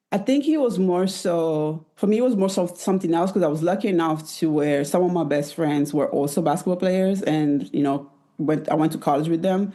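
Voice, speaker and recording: A woman with an American accent, fairly low in pitch and dark and mellow in tone, at a fairly quick pace with hardly any pauses, very even loudness and ordinary pitch variation. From Italy. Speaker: former professional basketball player. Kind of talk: interview conversation. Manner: soft-spoken.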